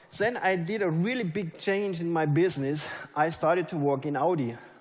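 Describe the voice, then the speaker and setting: There is audible room echo as a man with a German accent talks at a fairly high pitch with ordinary pitch variation. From Germany. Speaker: network marketing leader. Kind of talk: motivational speech. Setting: stage with audience.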